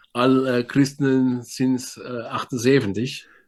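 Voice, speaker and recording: A man's medium-pitched voice proceeds at a very slow pace. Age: 60s. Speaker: pastor. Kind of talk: sermon. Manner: halting.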